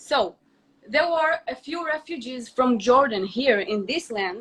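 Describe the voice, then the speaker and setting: Her intonation is lively. The woman's pitch sits high. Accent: Israeli. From Israel. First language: Hebrew. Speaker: influencer. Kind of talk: heated debate.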